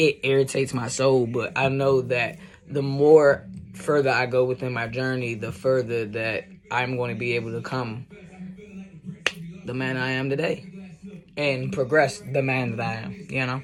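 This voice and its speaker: Noticeable background noise behind a man's moderate pace, marked by long, frequent pauses. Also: medium pitch for a man, fairly even intonation. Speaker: video blogger. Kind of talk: vlog monologue. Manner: casual, halting with fillers.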